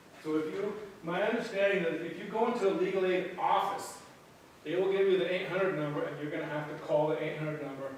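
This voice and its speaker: Speaking very rapidly, a man's voice fills a room that echoes audibly. There is noticeable noise in the background as well. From western Nebraska (Scottsbluff). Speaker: professor. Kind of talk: lecture. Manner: halting, many repeats and fillers.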